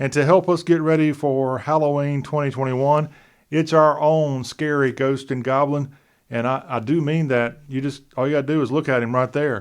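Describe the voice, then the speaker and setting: In a plain, everyday voice, a man with an American accent speaks at a moderate pace and a fairly high pitch against a quiet background. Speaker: talk show host. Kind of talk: show intro to camera. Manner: upbeat.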